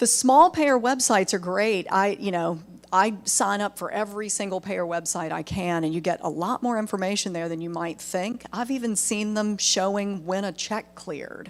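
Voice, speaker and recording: A woman with a Southern US accent speaks at a medium pitch and a moderate pace. Her pitch varies in an ordinary way, and she leaves hardly any pauses. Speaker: medical billing trainer. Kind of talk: webinar presentation. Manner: conversational.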